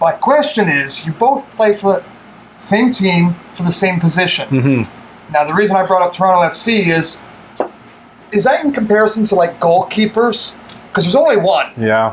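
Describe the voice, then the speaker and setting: The voice swings very widely in pitch at a moderate pace, with light background noise. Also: man. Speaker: show host. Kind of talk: casual interview question.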